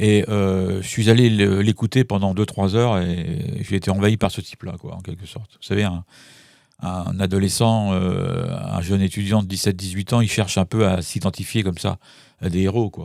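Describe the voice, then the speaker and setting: A dark, mellow tone at a moderate pace, with fairly even intonation and big swings in loudness. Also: man, fairly low pitch for a man. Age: 70s. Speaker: forensic psychologist. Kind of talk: interview. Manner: hesitant, many fillers.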